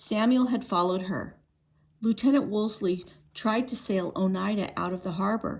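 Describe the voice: Ordinary pitch variation in plain reading aloud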